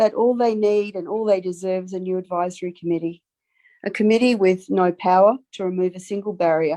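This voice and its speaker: A woman with a slight Australian accent speaks at a fairly quick pace in a dark, mellow tone with ordinary pitch variation. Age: 60s. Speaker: public submitter. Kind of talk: formal submission to committee. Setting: video call. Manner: earnest, impassioned.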